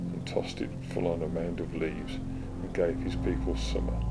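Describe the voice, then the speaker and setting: In a West Midlands accent, a man with a very deep, low pitch speaks at a moderate pace, with music in the background and audible room echo. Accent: flat West Midlands. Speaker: audiobook reader. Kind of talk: reading aloud.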